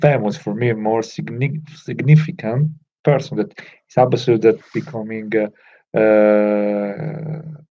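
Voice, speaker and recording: With a non-native accent, a man speaks at a fairly slow pace in a medium pitch, his dark, mellow tone carrying ordinary pitch variation. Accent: non-native English speaker. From Italy. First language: Italian. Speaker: self-improvement vlogger. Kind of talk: casual talk to camera. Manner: halting, many fillers.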